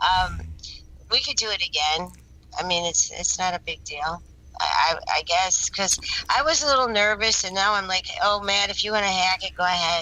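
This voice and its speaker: Speaking with an American accent, the woman keeps a moderate pace. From Michigan, US Midwest. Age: 60s. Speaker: interview guest. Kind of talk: interview conversation.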